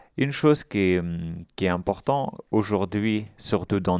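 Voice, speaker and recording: Against a quiet background, a man speaks with an Afghan accent. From Afghanistan. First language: Dari (speaking French). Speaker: IT worker and filmmaker. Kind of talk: radio interview.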